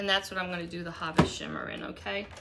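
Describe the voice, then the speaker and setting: There is noticeable background noise as a woman speaks in an American accent. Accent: slight Boston accent noticed by viewers. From Boston. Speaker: craft live streamer. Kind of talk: live craft tutorial. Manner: casual, chatty.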